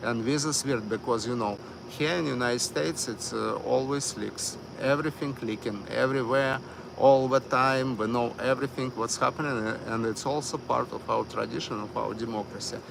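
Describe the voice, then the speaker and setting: Against noticeable background noise, someone talks with a Russian accent. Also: man, medium pitch for a man, ordinary pitch variation, moderate pace. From Miami. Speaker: live streamer. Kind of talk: live stream commentary. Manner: halting, many fillers.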